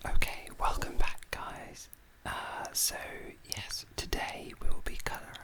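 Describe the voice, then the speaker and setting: A man whispers at a fairly slow pace, his loudness swinging widely, with noticeable background noise behind him. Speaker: ASMR artist. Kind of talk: whispered ASMR chat while drawing.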